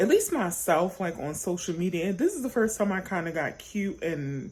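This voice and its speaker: A woman's somewhat breathy voice at medium pitch, moderate pace and ordinary pitch variation. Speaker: YouTuber sharing storytime. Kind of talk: casual chat to camera. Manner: animated, rambling with fillers.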